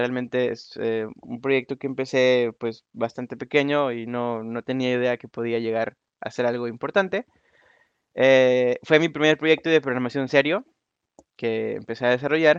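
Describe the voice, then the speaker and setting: A man with a normal speaking voice, medium pitch, fairly slow pace, fairly even intonation and big swings in loudness, recorded dry and close with no echo. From Mexico, Nuevo León. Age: 20s. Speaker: software developer. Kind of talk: conference talk. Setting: online voice conference room.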